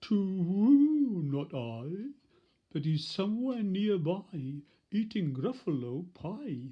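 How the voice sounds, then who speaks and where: A female-sounding put-on character voice sits at a middle pitch and moves at a very slow pace. Its pitch swings very widely. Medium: read story.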